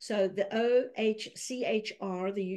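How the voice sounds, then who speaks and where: A woman's voice is heard here. It has a dark, mellow tone. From South Africa. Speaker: human rights advocate. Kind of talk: talk.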